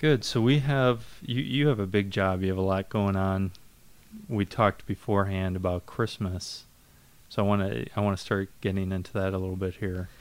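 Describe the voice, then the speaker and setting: This man has an unremarkable speaking voice with a fairly low pitch, ordinary pitch variation and a moderate pace. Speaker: church podcast host. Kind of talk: casual interview.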